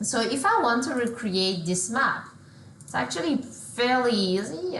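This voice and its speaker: A woman with a French accent talks at a fairly slow pace. Audible room echo and noticeable background noise are present. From France. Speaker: solution engineer. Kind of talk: software demo.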